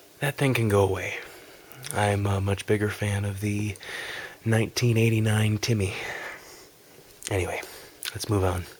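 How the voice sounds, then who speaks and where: A man talks at a moderate pace in a fairly low pitch with long, frequent pauses. His intonation is monotone and flat. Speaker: ASMR content creator. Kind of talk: ASMR whispered video game collection review. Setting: amateur home recording. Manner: whispered, soft.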